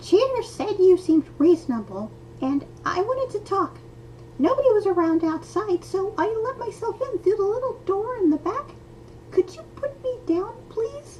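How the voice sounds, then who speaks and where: A squeaky, extremely high put-on character voice at a moderate pace, with clear background noise. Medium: read story. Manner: quick, nervous, talkative.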